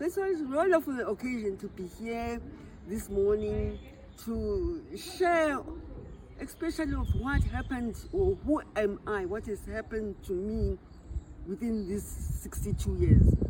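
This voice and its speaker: Noticeable background noise accompanies a woman speaking fairly slowly. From South Africa and Swaziland. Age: 60s. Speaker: retired memoir author. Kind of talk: life story interview. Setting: library event. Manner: halting, repeats words.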